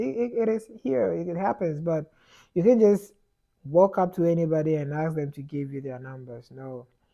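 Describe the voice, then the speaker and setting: A man with a Ghanaian accent speaks at a moderate pace in a fairly high voice. His tone is dark and mellow, over a quiet background. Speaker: immigrant vlogger. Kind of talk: casual advice monologue. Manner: repetitive stumbling, many fillers.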